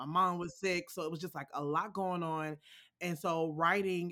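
At a moderate pace, a woman with an American accent speaks in a bright, sharp tone with monotone, flat intonation. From Alexandria, Virginia (DC metro area). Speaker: podcast creator and sound designer. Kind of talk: casual interview. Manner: halting, many fillers.

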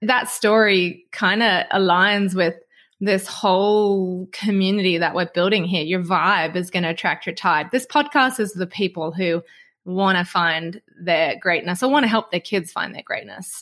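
A woman with an Australian accent speaks at medium pitch and a moderate pace, with ordinary pitch variation and a quiet background. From Australia (Snowy Mountains). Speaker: podcast host, former ski racer. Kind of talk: casual chat.

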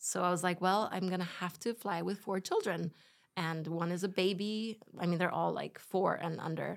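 A woman's fairly low, flat, monotone voice with vocal fry, at a moderate pace. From Spain, German parents. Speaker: host's wife, mother of four. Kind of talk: casual chat.

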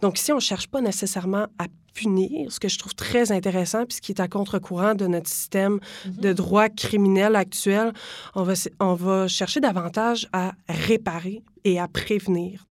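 An ordinary speaking voice from a woman at medium pitch, moderate in pace, on a very clean recording with a silent background. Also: fairly even intonation. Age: 20s. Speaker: law student. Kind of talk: interview.

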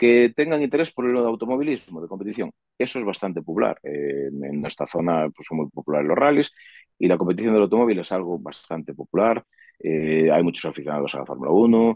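At a fairly quick pace, a man talks in a very deep, low pitch that swings very widely. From Galicia, Sarria (Lugo). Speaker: industrial engineer and museum promoter. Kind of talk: interview. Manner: halting, many fillers.

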